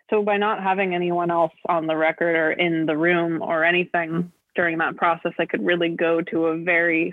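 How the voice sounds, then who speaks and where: The speaker talks at a fairly slow pace in a monotone with flat intonation. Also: woman. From US West Coast, Los Angeles. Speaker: singer-songwriter. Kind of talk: interview.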